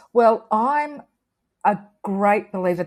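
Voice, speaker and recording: A woman speaks in an Australian accent with ordinary pitch variation. The recording is very clean, with a silent background. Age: 60s. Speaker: artist. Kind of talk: interview.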